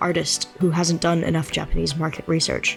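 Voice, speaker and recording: With music in the background, the speaker moves along at a fairly quick pace. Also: woman. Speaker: video essayist. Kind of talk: video essay narration.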